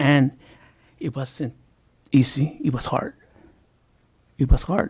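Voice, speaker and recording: A man speaks very slowly at a fairly high pitch, somewhat breathy, with fairly even intonation. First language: Spanish. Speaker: school board member. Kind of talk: heated debate.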